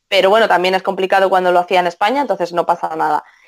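A woman speaks in a Castilian accent. Her pitch varies in an ordinary way. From Spain. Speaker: translator. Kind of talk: interview.

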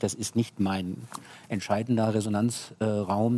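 Here a man talks at a moderate pace in an unremarkable speaking voice of medium pitch. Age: 60s. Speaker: film producer. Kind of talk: panel discussion. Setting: stage.

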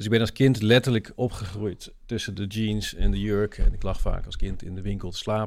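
A man talks at a moderate pace with hardly any pauses. His fairly low voice stays monotone and flat. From Netherlands, Limburg. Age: 40s. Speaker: social entrepreneur, nonprofit founder. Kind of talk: interview conversation.

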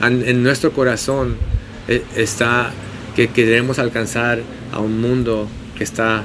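A medium-pitched male voice competes with noticeable noise in the background. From San Diego, California; Mexican-Bolivian family. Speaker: pastor and restaurant owner. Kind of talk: casual chat. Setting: outdoors, street cafe.

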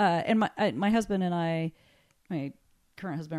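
A woman with an American accent speaks in a dark, mellow tone at a fairly low pitch. The recording is very clean with a silent background. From Napa Valley, California. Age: 50s. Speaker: winery general manager. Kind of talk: interview. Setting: office at winery.

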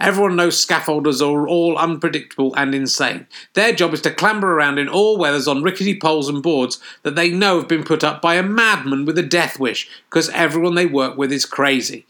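Delivered at a fairly quick pace with hardly any pauses, a man's fairly high, bright, sharp voice carries a southern English accent and ordinary pitch variation. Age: 50s. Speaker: comedian. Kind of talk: casual chat; reading aloud.

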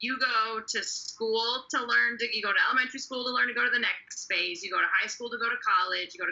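A woman with an unremarkable speaking voice, fairly high in pitch, at a fairly quick pace. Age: 40s. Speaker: senior services manager. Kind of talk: casual chat.

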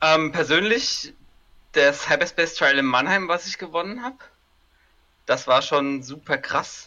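A man with a high pitch, ordinary pitch variation, a fairly slow pace and long, frequent pauses. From Germany, Kaiserslautern (Palatinate). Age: 30s. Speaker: tabletop game player. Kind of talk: casual chat.

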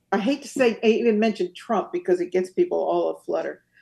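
Her voice fairly high, a woman speaks with a dark, mellow tone. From US, San Francisco Bay Area. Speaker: author. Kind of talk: interview.

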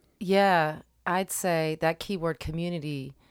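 A woman with an American accent, fairly low in pitch, with fairly even intonation on a very clean recording against a silent background. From Delaware County, Pennsylvania. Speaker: musician and teaching artist. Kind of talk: radio interview.

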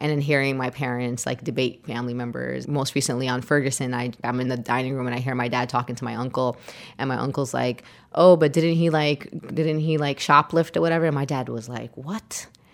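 This woman has a very deep, low pitch and fairly even intonation. She speaks with a New York accent. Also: fairly quick pace. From Brooklyn, New York. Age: 30s. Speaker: community organizer. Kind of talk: interview storytelling.

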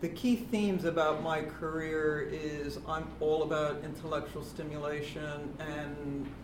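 Over noticeable background noise, a woman with an American accent speaks at a fairly slow pace with hardly any pauses in a very deep, low voice. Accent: flat American. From United States. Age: 50s. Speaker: business executive. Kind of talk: panel talk. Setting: stage with audience. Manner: monotone.

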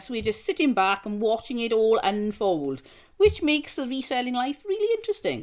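Very clean recording, silent background: a woman with a fairly high pitch speaks at a moderate pace. Hers is an unremarkable speaking voice. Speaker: podcast host. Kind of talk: casual chat.

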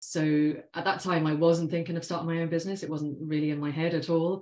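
A woman's dark, mellow tone in an English accent, fairly quick pace, quiet background. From London, England. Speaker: financial planner. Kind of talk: interview.

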